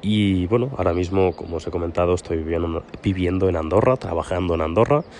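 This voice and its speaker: Very fast, very deep and low-pitched male speech, the pitch varying in an ordinary way. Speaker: podcast host. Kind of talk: casual monologue. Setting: outdoors on a terrace. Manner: soft-spoken.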